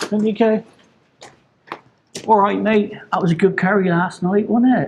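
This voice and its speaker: This is a somewhat breathy voice. It is a man speaking. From southwest England. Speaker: outdoor cooking vlogger. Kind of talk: casual vlog narration. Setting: outdoors.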